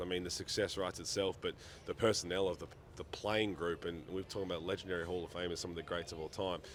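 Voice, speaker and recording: A man speaks in an Australian accent at a very fast pace. His pitch is very deep and low. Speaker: sports interviewer. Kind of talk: interview. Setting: at a sports event.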